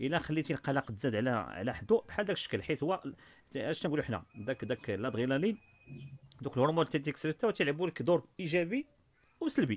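A man with a Moroccan accent speaks at a fairly quick pace in a fairly high pitch, with lively intonation. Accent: Moroccan Darija. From Morocco. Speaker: study skills coach and author; study skills coach. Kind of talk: online workshop talk. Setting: video call. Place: office. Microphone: studio mic.

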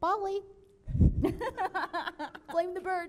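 An extremely high-pitched, put-on character voice

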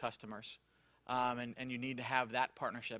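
This man talks at a very fast pace. The words come out in a rush. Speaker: remote patient monitoring industry specialist. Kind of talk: conference panel presentation. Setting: conference room with live audience. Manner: loud.

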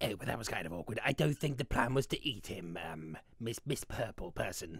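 This is a put-on character voice with a low pitch. The pace is fairly quick. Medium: role play. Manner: grumpy, sarcastic.

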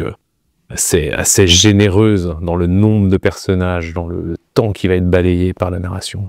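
At a very slow pace, a man speaks in a very deep, low voice with fairly even intonation, in a dry sound with no echo and a quiet background. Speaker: interviewee. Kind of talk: interview answer. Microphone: lapel.

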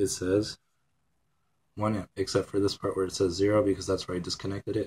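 A man's fairly low, somewhat breathy voice comes through dry and close with no echo on a very clean recording with a silent background. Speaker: electronics hobbyist. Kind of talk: casual tutorial. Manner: casual, hesitant with fillers.

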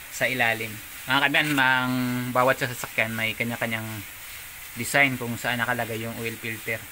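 Noticeable background noise behind a man's voice at a moderate pace. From Philippines. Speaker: DIY car maintenance vlogger. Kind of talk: tutorial. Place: garage. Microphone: phone near.

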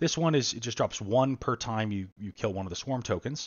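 A man's speech carries lively intonation at a moderate pace, with a quiet background behind him. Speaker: board game publisher demoing own game. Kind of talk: live-streamed game rules tutorial. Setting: live online stream. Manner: casual, frequent filler words. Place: home room. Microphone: headset.

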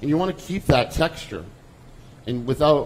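A man with an American accent, somewhat breathy, with lively intonation at a moderate pace, over light background noise. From Lowell, Massachusetts; Massachusetts. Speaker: chef; presenter. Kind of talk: cooking demonstration. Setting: stage with audience. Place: stage.

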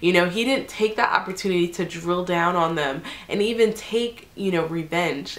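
Noticeable background noise behind a woman's medium-pitched voice with ordinary pitch variation. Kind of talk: devotional scripture reflection. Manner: casual, conversational.

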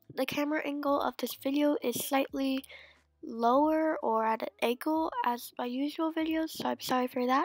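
A woman speaks at a moderate pace in a high voice with fairly even intonation. Music plays in the background, and the sound is dry and close with no echo. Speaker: planner and stationery vlogger. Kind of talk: tutorial.

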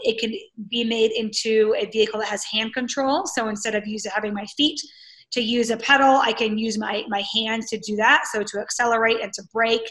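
A woman's fairly high voice, fairly even in intonation and fairly quick, against a quiet background. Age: 40s. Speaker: Paralympic triathlete and army veteran; interview guest. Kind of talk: interview. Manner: hesitant, filler-heavy. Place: home room. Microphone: video call.

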